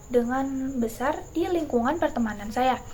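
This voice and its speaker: A woman is speaking. She has a West Javanese accent. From Indonesia, West Java (Bogor, Sundanese family). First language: Sundanese (speaking Indonesian). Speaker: university student. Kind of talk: class presentation. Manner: hesitant, many fillers.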